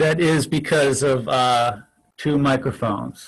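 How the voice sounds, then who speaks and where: There is a quiet background behind a man with a fairly high pitch. He speaks at a very slow pace with ordinary pitch variation. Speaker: meditation teacher. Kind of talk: online class. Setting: video call. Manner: loud; halting. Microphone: echo and static from two microphones; new equipment.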